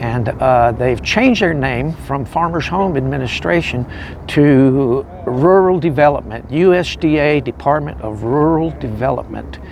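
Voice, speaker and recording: There is noticeable background noise as a man speaks fairly slowly at a medium pitch with lively intonation. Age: 60s. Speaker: homeless veteran. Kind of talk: testimony. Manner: halting.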